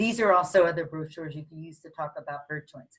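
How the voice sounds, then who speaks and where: A somewhat breathy woman's voice with an American accent and ordinary pitch variation. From Philadelphia / South Jersey, US. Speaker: real estate photography manager. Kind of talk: webinar presentation.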